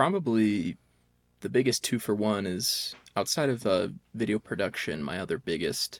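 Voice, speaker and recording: Here a man with a medium pitch and vocal fry speaks at a moderate pace. The recording is very clean, with a silent background. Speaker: podcast co-host, college student. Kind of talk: casual chat.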